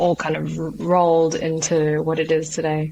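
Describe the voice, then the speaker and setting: Over noticeable background noise, a woman with an Australian accent talks at a moderate pace in a fairly low pitch with fairly even intonation. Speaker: entrepreneur and martial artist. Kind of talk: interview. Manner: hesitant, many fillers.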